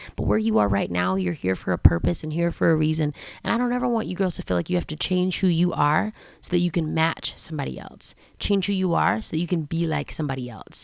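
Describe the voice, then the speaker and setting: The voice is loud and animated, rushing at a very fast pace with very wide pitch swings. The recording is very clean, with a silent background. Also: woman, very deep, low pitch for a woman. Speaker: podcast host. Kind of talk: solo podcast talk aimed at teen girls. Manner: fast talker, animated; loud, talkative.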